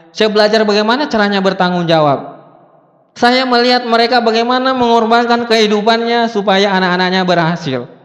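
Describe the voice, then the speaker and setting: A man with a high pitch talks fairly quickly in an animated tone, his pitch varying in an ordinary way. Background noise is noticeable, and there is audible room echo. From South Sulawesi, Bugis. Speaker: motivational speaker. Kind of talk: motivational seminar talk.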